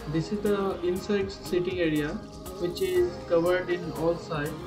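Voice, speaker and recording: The speaker keeps a moderate pace while clear music plays in the background. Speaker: travel vlogger. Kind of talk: casual vlog chat. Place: boat. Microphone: phone near.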